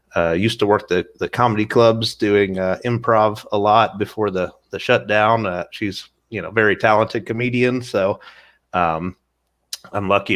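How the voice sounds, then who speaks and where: In a very clean recording with a silent background, a man with a slight Southern US accent speaks with a fairly low pitch and fairly even intonation. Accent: slight Southern twang. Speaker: animator and filmmaker. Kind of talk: interview.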